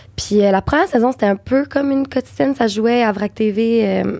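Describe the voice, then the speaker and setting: Dry and close with no echo, a woman's voice has a dark, mellow tone and fairly high pitch. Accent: Quebec. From Quebec. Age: 20s. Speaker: actress and voice actor. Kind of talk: casual chat.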